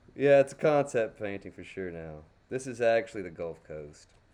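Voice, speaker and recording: In a Texas accent, the voice has a dark, mellow, relaxed tone and moves at a fairly slow pace. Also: man. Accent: native Texas. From Texas, Dallas. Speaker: crayon painting streamer. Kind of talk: live painting tutorial chat. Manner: casual, relaxed.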